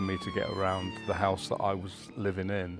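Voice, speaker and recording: A man with a fairly low pitch talks at a moderate pace amid noticeable background noise. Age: 70s. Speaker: resident. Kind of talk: documentary interview.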